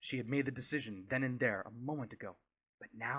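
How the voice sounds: The background stays quiet while a natural reading voice carries the words.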